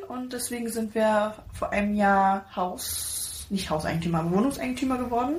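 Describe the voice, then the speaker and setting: Her intonation is lively. Behind the woman's voice, background noise is noticeable. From Pirna near Dresden, Saxony, Germany. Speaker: podcast co-host. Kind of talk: casual chat.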